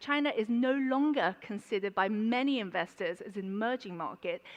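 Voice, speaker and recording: Speaking at a moderate pace in a London accent, a woman has a fairly high pitch and lively intonation. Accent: London accent (self-described). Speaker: banker, conference speaker. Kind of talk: conference presentation. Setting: conference stage with audience. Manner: hesitant, many fillers.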